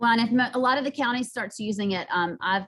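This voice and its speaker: The woman speaks at a very fast pace. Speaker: math teacher. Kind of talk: presentation.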